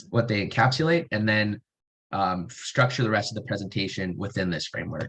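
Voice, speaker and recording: A man speaks in a fairly low voice. His pitch varies in an ordinary way. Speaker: researcher and student presenter. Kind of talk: webinar presentation. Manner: fast; animated.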